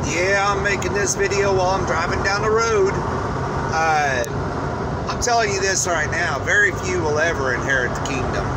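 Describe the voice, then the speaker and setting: A man with ordinary pitch variation over loud background noise. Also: moderate pace. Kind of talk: casual vlog chat about faith. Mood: earnest, preachy. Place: car. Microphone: phone near.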